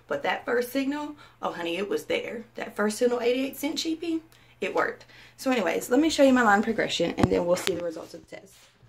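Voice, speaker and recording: A woman speaks very fast in a high voice with very wide pitch swings, over noticeable background noise. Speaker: vlogger. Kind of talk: casual vlog talk.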